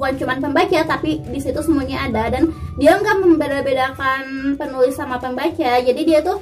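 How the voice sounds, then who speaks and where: Music plays in the background as a woman speaks at a fairly quick pace in a shrill voice with ordinary pitch variation. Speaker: YouTuber. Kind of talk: casual chat. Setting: video call.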